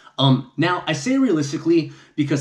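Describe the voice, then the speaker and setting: The background is quiet while a man speaks. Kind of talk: casual vlog chat. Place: home room. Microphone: camera far.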